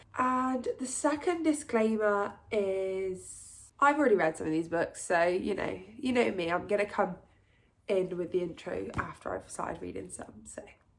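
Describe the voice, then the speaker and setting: Lively intonation and big swings in loudness in an English accent, at a moderate pace. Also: woman, medium pitch for a woman. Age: 20s. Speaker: book vlogger. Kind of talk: casual vlog talk to camera. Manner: chatty.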